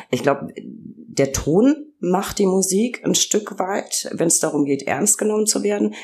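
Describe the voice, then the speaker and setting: A woman speaks with very wide swings in pitch. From Franconia, Germany. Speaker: podcast host, press spokesperson. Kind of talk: interview podcast.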